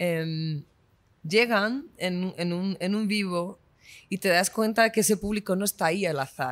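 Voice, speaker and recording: On a very clean recording with a silent background, a woman with a normal speaking voice talks at a fairly slow pace, using a medium pitch and ordinary pitch variation. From Spain. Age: 20s. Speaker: singer. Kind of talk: interview.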